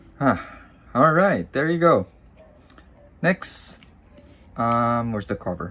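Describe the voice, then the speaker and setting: This man talks at a very slow pace with long, frequent pauses, his medium pitch making very wide swings. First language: not English. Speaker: tech YouTuber. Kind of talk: unscripted unboxing tutorial. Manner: halting, hesitant.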